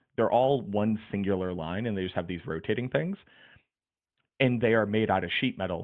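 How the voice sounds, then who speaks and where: This voice has ordinary pitch variation and an American accent. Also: man, fairly low pitch for a man, moderate pace. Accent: Boston accent, comes out at times. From Boston, US Northeast. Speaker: video game streamer and guide writer. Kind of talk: casual podcast chat. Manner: animated.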